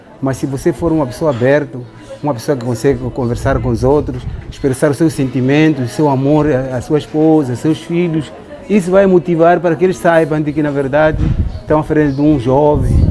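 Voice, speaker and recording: Against noticeable background noise, a man speaks at a fairly quick pace, his pitch fairly high with ordinary variation. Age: 60s. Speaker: elder giving life advice. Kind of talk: monologue giving advice.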